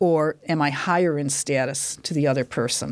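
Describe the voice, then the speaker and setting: Speaking at a moderate pace is a woman. The recording is very clean, with a silent background. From US Midwest, Detroit, Michigan. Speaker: university linguistics lecturer. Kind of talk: casual interview.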